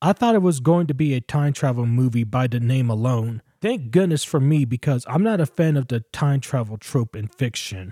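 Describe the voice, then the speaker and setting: A man with an American accent talks at a moderate pace with hardly any pauses, his medium-pitched voice somewhat breathy with a dark, mellow tone and lively intonation, in a dry, close sound with no echo on a very clean recording with a silent background. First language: English, learning Spanish. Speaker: podcast host, film reviewer. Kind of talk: solo film review.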